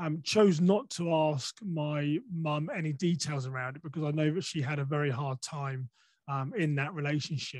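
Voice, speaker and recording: A somewhat breathy man with an English accent speaks at a moderate pace, his fairly high pitch showing ordinary variation. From England. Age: 40s. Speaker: podcaster and safety speaker. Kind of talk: interview conversation. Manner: hesitant, many fillers.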